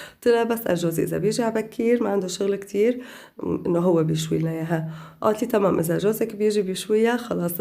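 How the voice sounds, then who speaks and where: A woman's voice with a dark, mellow tone. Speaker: lifestyle vlogger. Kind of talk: voiceover vlog narration. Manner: casual.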